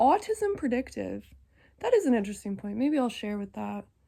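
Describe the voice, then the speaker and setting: The pace is fairly quick. A woman speaks with big swings in loudness. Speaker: psychedelic trip reporter. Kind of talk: casual monologue. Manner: sleepy, drowsy speaking; halting.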